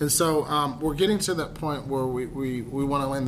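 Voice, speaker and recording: A man speaks at a fairly high pitch. Background noise is noticeable. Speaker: podcast host. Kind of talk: casual chat. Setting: cigar lounge. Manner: animated.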